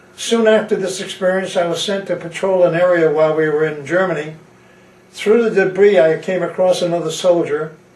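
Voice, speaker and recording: An American accent from a man, high in pitch, with fairly even intonation and audible room echo. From Connecticut, US. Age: 80s+. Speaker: war veteran. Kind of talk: testimony. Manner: halting.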